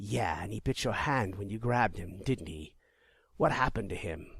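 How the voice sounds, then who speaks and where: Putting on a character voice, a man speaks raspy and fairly low at a moderate pace on a very clean recording with a silent background. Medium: read story. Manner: grumbling.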